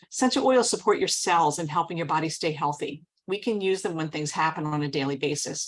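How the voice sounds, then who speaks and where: A woman with an American accent talks at a fairly quick pace, her pitch fairly low with ordinary variation. She has an unremarkable speaking voice, and the recording is very clean with a silent background. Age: 60s. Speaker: wellness product presenter. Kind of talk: sales presentation.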